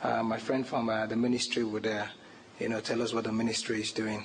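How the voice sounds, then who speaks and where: Through audible room echo and noticeable background noise, a man talks at medium pitch in a monotone, flat way. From Nigeria. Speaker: conference presenter. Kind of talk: lecture. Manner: formal.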